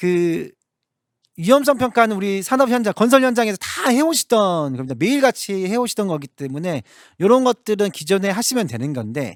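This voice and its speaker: A man's high-pitched voice makes very wide pitch swings in a very clean recording with a silent background. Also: dry, close sound with no echo. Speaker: lawyer presenting at seminar. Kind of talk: seminar lecture. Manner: fast, somewhat tangled speech.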